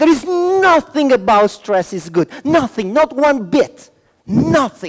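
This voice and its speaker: With an Italian accent, a man talks at a fairly slow pace and makes very wide pitch swings. The sound is dry and close, with no echo. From Milan, Italy; moved to Venezuela at fifteen. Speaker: motivational speaker and trainer. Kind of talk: conference talk. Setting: conference room with live audience. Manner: animated.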